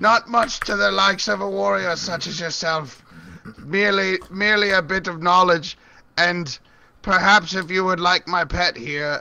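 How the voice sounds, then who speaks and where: This man puts on a character voice pitched high. He keeps a moderate pace. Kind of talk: game master character voice. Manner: pleading, servile.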